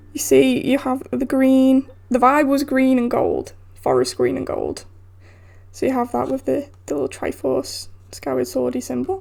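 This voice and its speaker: A woman with a British accent speaks at a moderate pace over noticeable background noise. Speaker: YouTuber. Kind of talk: casual vlog talk. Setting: at a desk filming. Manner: casual, halting; loud.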